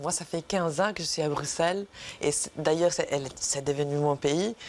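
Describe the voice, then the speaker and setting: This woman's voice is very deep and low for a woman, with fairly even intonation, at a moderate pace. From Italy. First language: Italian (speaking French). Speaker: actress. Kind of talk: TV interview. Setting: studio.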